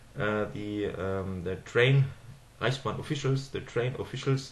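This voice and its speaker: With a German accent, a man talks at a moderate pace and fairly low pitch, somewhat breathy, with ordinary pitch variation and audible room echo. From Germany. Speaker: political commentator. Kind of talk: monologue video address. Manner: halting, many fillers.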